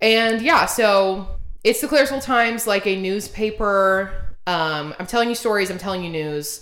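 An animated tone with lively intonation at a moderate pace, in an American accent. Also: woman, medium pitch for a woman. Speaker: podcast co-host. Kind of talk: casual chat.

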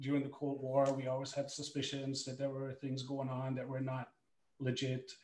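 At a medium pitch, a man speaks in a somewhat breathy voice. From Germany. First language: German. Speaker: former pro hockey goaltender, sports psychology coach. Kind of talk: panel talk and personal testimony.

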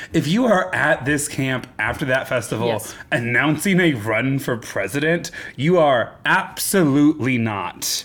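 A man with an ordinary speaking voice talks at a fairly slow pace with hardly any pauses, using a fairly high pitch and lively intonation. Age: 30s. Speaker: podcast host. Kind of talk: casual chat. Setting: studio.

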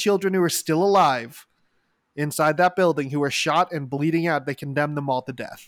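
The man has an unremarkable speaking voice with a fairly high pitch. His intonation is fairly even, and the recording is very clean with a silent background. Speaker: podcast host. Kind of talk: casual chat about a news event.

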